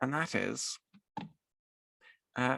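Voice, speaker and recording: A soft-spoken man in a dry, close sound with no echo. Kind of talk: software tutorial narration. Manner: slow.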